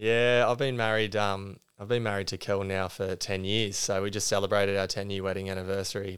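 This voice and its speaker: A man with an Australian accent, fairly low-pitched, at a moderate pace, with a monotone, flat delivery, on a very clean recording with a silent background. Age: 30s. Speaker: former high jumper and teacher. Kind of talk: interview. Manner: halting.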